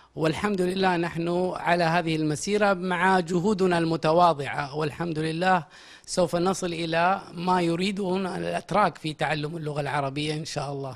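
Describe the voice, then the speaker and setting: Against a quiet background, a man with a high pitch speaks fairly slowly, with fairly even intonation. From Saudi Arabia. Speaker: language institute director and lecturer; lecturer. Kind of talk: interview. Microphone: handheld.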